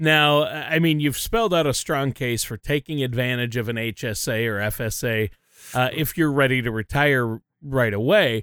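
On a very clean recording with a silent background, a man with an unremarkable speaking voice talks at a medium pitch and a moderate pace with ordinary pitch variation. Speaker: co-host and announcer. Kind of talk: informational podcast discussion.

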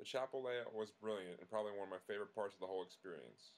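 A man talks very fast in an American accent. His pitch is fairly low. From Long Island, New York. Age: 30s. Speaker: activist and law student. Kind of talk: scripted narration.

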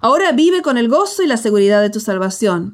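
With a Latin American accent, a woman speaks at a fairly high pitch. Her intonation is lively. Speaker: pastor and author. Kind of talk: audiobook narration.

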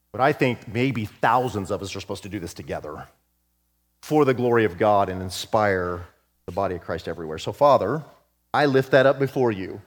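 The man's voice sits fairly low, with lively intonation at a fairly quick pace. The recording is very clean, with a silent background. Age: 50s. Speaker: pastor and prayer leader. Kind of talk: fervent spoken prayer to God; church announcement to congregation. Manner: fervent, intimate petitioning; earnest, pleading emphasis with repetition.

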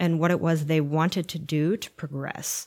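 In a very clean recording with a silent background, a plain, everyday voice with an American accent speaks at a fairly slow pace with fairly even intonation. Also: woman. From California, Santa Barbara area. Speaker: writer and theater artist. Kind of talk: interview.

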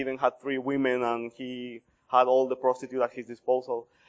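This is a man speaking. He has a Colombian accent. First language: Spanish. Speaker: missionary pastor. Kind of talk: sermon. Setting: church.

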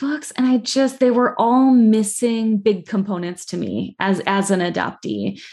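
Over a quiet background, a woman speaks at a moderate pace with a plain, everyday voice. Her pitch is fairly high with ordinary variation. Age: 40s. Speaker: children's book author and adoptee. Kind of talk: interview podcast. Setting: video call.

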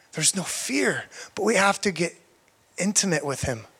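A man is speaking. His pace is moderate. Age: 30s. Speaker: guest preacher, missionary and evangelist. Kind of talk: sermon.

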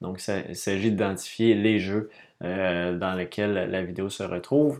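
Here a man speaks at a fairly slow pace. His pitch is fairly low and his intonation fairly even. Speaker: board game podcaster. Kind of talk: casual monologue podcast. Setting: home studio room. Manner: hesitant, many fillers.

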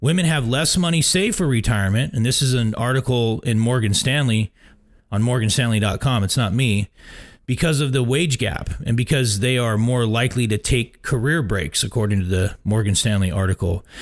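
A man's plain, everyday voice at a medium pitch and fairly quick pace, with lively intonation and very even loudness, on a very clean recording with a silent background. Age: 40s. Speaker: radio host, retirement planner. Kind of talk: radio show monologue. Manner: casual, filler-heavy.

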